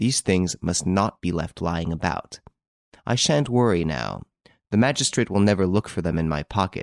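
Doing a put-on character voice, a man speaks low with vocal fry and big pitch swings at a moderate pace, in a very clean recording with a silent background and a dry, close sound with no echo.

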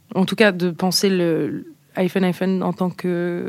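Her speech is very slow. The woman's pitch is medium. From France, Nice. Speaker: pop band singer. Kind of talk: interview. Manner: halting, many fillers.

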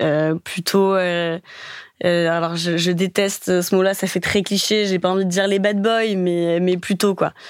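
Over a silent background in a very clean recording, a woman talks at a fairly slow pace and medium pitch, her intonation monotone and flat and her loudness very even. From Paris. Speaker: dating podcast guest. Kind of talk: casual interview.

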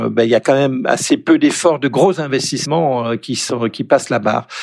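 This man has an unremarkable speaking voice at medium pitch. His intonation is lively. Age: 60s. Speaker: economist. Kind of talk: interview.

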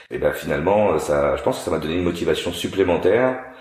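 Audible room echo colors this recording. The voice belongs to a man. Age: 40s. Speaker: racing driver and TV car tester. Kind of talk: casual interview.

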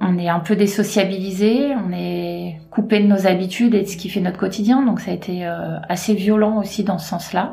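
A woman speaks at a medium pitch and a moderate pace. Her intonation is fairly even, and the room echo is audible. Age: 30s. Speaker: cancer survivor, retail worker. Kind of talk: testimony.

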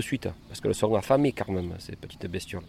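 A man's dark, mellow tone with lively intonation. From Provence, Cavaillon (Vaucluse). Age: 50s. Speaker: melon farmer. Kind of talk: interview. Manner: halting.

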